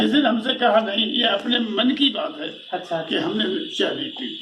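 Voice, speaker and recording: A man at a moderate pace with lively intonation, amid noticeable background noise. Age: 80s+. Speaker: freedom fighter. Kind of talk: interview answer.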